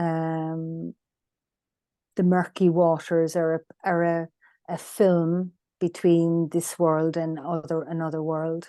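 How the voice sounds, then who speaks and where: A woman's dark, mellow, fairly low voice in a Cork accent at a very slow pace, against a quiet background. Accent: Irish (Cork). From Ireland, rural West Cork. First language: Irish. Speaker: land healer. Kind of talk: interview conversation. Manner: halting, many fillers.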